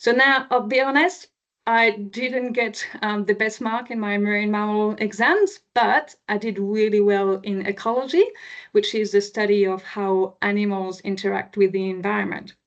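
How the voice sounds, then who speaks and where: With a slight French accent, a woman with a fairly high pitch talks at a moderate pace with ordinary pitch variation. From France, near Chartres. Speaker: marine scientist. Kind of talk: public presentation. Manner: hesitant, many fillers.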